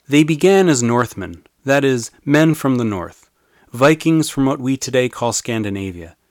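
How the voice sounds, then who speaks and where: A man at medium pitch has an ordinary speaking voice, lively intonation and a moderate pace. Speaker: history podcaster and author. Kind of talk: scripted narration.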